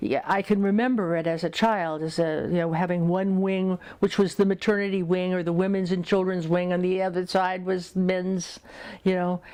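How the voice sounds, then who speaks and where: A woman's dark, mellow, medium-pitched voice with an American accent, flat and monotone, at a moderate pace over a quiet background. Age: 70s. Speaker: oral history interviewee, bookseller and college board trustee. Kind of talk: oral history interview. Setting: interviewee's home.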